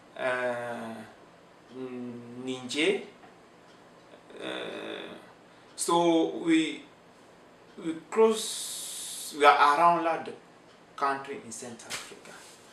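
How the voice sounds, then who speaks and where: Speaking very slowly with long, frequent pauses, a man with a fairly high pitch uses lively intonation and big swings in loudness, with audible room echo around him. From Cameroon, French-speaking region. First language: French. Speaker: immigrant interviewee. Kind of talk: interview. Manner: halting.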